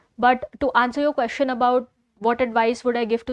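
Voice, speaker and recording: A high-pitched woman at a fairly quick pace, with fairly even intonation and a dry, close sound with no echo. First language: not English. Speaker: entrepreneur. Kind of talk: interview. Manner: halting.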